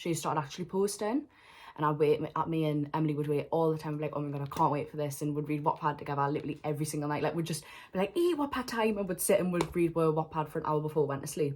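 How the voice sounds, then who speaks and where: Over noticeable background noise, a woman with a Geordie accent talks at a very fast pace in an animated tone, her pitch very deep and low. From northern England, Newcastle. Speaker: vlogger. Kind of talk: storytime vlog. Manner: fast, animated.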